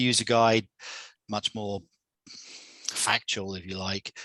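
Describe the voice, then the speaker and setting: A man with an English accent speaks at a fairly low pitch in a bright, sharp tone. The sound is dry and close with no echo, and the background is quiet. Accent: English accent, people think Australian. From England. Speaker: software presenter. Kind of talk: product demo presentation. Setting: video call webinar. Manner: halting, many repetitions. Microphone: new headset.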